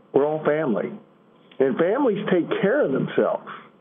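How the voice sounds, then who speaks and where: A man's high-pitched voice with an American accent at a moderate pace, amid audible room echo and noticeable background noise. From Illinois. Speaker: advocate from mining family. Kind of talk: prepared speech.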